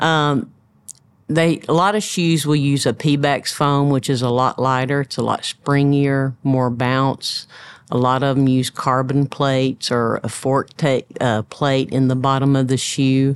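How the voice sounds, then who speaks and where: With a Tennessee accent, the speaker talks at a fairly slow pace with fairly even intonation. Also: woman, very deep, low pitch for a woman. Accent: Southern US (Tennessee). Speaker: running store owner. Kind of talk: interview.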